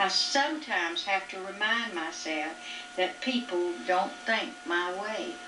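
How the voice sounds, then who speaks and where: Very wide pitch swings come at a fairly slow pace over noticeable background noise. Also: woman. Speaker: mother. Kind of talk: reading her own written reflections aloud. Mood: reflective, calm. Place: home room. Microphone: old recording.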